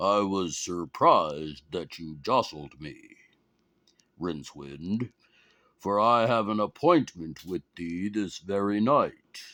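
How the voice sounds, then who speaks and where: A man does a booming, put-on character voice with a fairly low pitch and lively intonation. He goes at a fairly slow pace, with big swings in loudness. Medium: read story. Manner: grave, archaic speech.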